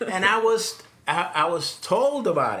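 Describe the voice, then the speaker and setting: A man speaks in a raised, projected voice, high-pitched with lively intonation. Noticeable background noise and audible room echo surround him. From Puerto Rico. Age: 60s. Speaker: digital nomad, former engineer. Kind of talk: casual interview storytelling. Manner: halting, many repetitions.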